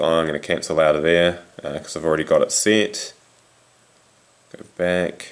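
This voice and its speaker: A man is speaking here. His accent is New Zealand. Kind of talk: casual tech demo to camera. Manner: hesitant, many fillers.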